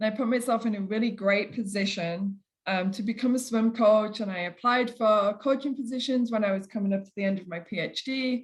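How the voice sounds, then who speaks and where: A woman with an English accent speaks at a fairly quick pace and a fairly high pitch, her somewhat breathy voice keeping a fairly even intonation while her loudness swings widely and she hardly pauses. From England. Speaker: kinesiology professor. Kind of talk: lecture.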